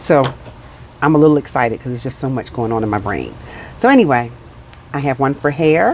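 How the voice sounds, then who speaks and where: Mumbling at a very fast pace, a woman with a very deep, low pitch and ordinary pitch variation leaves long, frequent pauses. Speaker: budgeting vlogger. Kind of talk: casual vlog chat.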